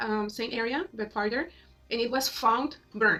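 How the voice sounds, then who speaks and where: A woman talks at a moderate pace with a fairly high pitch. Her tone is bright and sharp, and her pitch variation is ordinary. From Mexico. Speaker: YouTuber. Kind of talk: casual vlog monologue. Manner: halting, many fillers.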